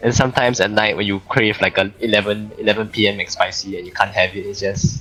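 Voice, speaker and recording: With music in the background, a man with a Singaporean accent and a fairly low pitch talks at a fairly quick pace in a monotone, flat intonation. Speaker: VRChat player. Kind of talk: casual chat.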